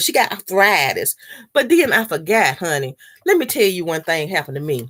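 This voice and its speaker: A woman with a Southern US accent talks at a moderate pace with vocal fry. Her pitch swings very widely, and her tone is animated. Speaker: mukbang vlogger. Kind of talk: casual chat.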